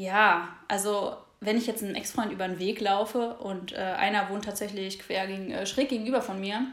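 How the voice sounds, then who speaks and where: Spoken at a moderate pace with fairly even intonation, the voice carries audible room echo. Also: woman. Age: 20s. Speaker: podcast co-host. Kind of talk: casual chat. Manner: hesitant, many filler sounds.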